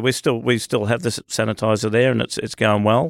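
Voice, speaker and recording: Recorded very cleanly against a silent background, a man with an Australian accent talks at a moderate pace in a dry, close sound with no echo. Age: 50s. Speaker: barber shop business owner. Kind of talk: casual interview. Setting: studio.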